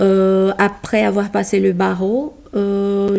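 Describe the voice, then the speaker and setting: A woman with a medium-pitched voice speaks with a Portuguese accent. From Brazil. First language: Portuguese (speaking French). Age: 30s. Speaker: corporate lawyer. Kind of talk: interview. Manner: halting.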